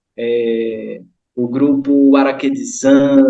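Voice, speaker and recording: Pitch variation here is ordinary. It is an ordinary speaking voice. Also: man. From Brazilian Northeast, Kariri-Xocó village on São Francisco river. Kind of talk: online group discussion.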